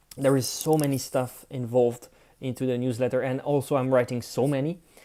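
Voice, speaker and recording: Someone with a French accent speaks at a moderate pace in a very clean recording with a silent background. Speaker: content creator. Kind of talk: live screen-share tutorial. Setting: livestream from home apartment. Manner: casual, with frequent fillers and restarts.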